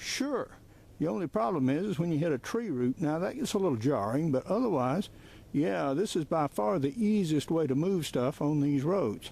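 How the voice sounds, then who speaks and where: A man with a fairly high pitch speaks at a moderate pace in a dark, mellow, relaxed tone, his pitch swinging very widely while his loudness stays very even. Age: 70s. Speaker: hunting video host and author. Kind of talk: casual outdoor vlog narration. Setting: outdoors in the woods. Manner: relaxed, conversational.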